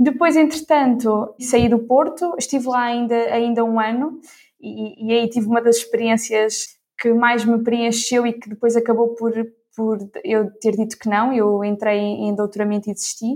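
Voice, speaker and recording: A woman with an ordinary speaking voice talks fairly slowly, her fairly high pitch carrying fairly even intonation. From Ílhavo, Aveiro region, northern Portugal. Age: 20s. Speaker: corporate innovation professional. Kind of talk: interview.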